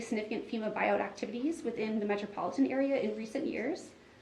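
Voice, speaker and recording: Audible room echo and noticeable background noise surround a voice speaking at a very fast pace with ordinary pitch variation. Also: woman. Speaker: watershed district staff presenter. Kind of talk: meeting presentation. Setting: board meeting.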